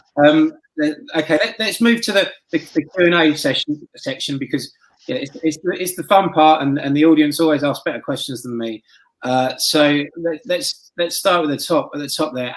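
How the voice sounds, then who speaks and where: With a British accent, a man speaks at a fairly quick pace with a fairly high pitch and ordinary pitch variation. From Britain. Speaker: magazine editor and roundtable host. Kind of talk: moderating online panel.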